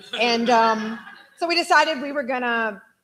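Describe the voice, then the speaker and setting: Moderate pace and lively intonation in a normal speaking voice. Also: woman. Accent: American. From Austin, Texas. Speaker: friend giving eulogy. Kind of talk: memorial speech.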